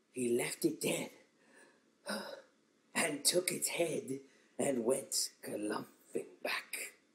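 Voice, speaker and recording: A cartoonish character voice at a very slow pace, full of long, frequent pauses. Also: man, fairly high pitch for a man. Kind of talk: poetry reading. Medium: puppet.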